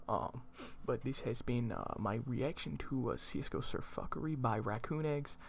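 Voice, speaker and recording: Delivery comes at a moderate pace. The voice is quiet. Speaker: YouTube reaction channel host. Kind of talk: casual video outro. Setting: home at night, family asleep.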